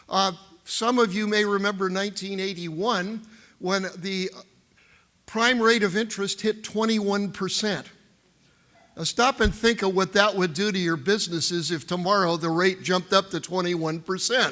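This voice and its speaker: A man projects a raised voice at a high pitch with a bright, sharp tone. His pace is moderate and his intonation fairly even. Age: 70s. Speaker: economist. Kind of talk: keynote speech. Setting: stage with audience.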